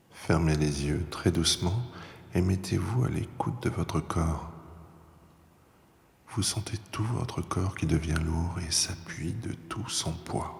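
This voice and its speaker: Calm in tone, a man with a very deep, low pitch speaks very slowly and somewhat breathily, with ordinary pitch variation and long, frequent pauses. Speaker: voice-over artist. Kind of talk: guided relaxation. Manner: slow, calm.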